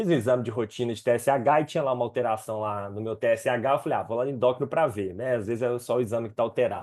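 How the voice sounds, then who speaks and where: With a quiet background, a man at medium pitch speaks at a very fast pace with hardly any pauses and ordinary pitch variation. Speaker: psychiatrist specializing in ADHD. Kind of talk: educational webinar.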